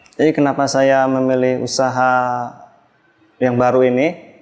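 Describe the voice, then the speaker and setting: At a moderate pace, a man talks with a medium pitch. His intonation is fairly even. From West Java, Indonesia. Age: 40s. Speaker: street drink vendor. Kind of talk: interview testimony. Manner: hesitant, frequent fillers.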